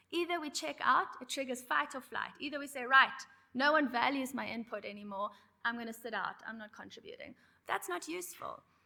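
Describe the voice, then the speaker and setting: In a raised, projected voice with a bright, sharp tone, a woman talks at a fairly quick pace at a high pitch, with lively intonation and big swings in loudness. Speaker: conference facilitator. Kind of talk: conference presentation. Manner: fast when excited.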